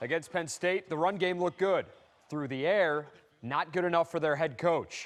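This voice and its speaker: A man with a normal speaking voice talks at a fairly high pitch and a fairly quick pace. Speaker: sports anchor and reporter. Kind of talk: TV sportscast read, energetic.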